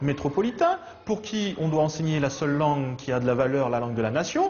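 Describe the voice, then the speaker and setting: A moderate pace over noticeable background noise. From Réunion. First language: Réunion Creole (speaking French). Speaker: teacher. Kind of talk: interview.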